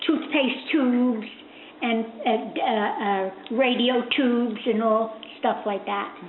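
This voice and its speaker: A woman with an American accent, fairly high in pitch, at a very slow pace, with audible room echo and noticeable background noise. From US Northeast, Newark, New Jersey. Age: 80s+. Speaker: interviewee grandmother. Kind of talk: oral history interview. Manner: halting, many hesitations.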